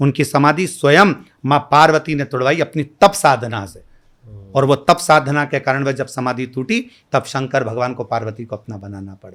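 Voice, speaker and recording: In a very clean recording with a silent background, a man speaks at a fairly high pitch with ordinary pitch variation and big swings in loudness. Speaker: kathavachak (Shiv Puran storyteller). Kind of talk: interview answer. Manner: calm.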